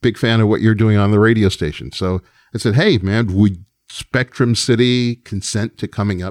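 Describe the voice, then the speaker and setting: This man has an unremarkable speaking voice, fairly low in pitch with ordinary variation, delivered at a moderate pace in a very clean recording with a silent background and a dry, close sound with no echo. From New York, Long Island. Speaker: record executive and music producer. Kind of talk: casual interview.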